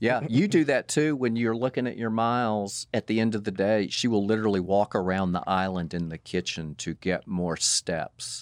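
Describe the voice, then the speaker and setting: A man talks with hardly any pauses in a fairly low voice. The sound is dry and close with no echo, over a quiet background. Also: ordinary pitch variation, moderate pace. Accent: Southern US. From Atlanta, Georgia, US South. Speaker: parent of the host. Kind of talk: casual chat. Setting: studio.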